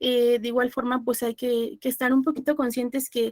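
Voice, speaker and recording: A woman speaks in a high voice, with a dry, close sound and no echo. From Mexico, Puebla. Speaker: law lecturer. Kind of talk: online class lecture. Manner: fast.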